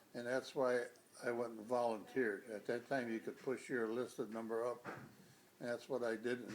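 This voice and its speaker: With an American accent, a man talks at a moderate pace in a monotone, flat intonation at medium pitch. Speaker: army veteran. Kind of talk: interview answer.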